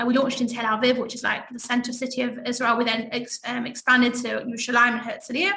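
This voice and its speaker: A woman with an English accent talks at a very fast pace, her high-pitched voice fairly even in intonation. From England. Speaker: networking group founder. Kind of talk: interview.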